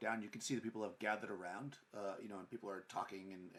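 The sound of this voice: Intonation here is fairly even. The delivery is an unforced reading voice.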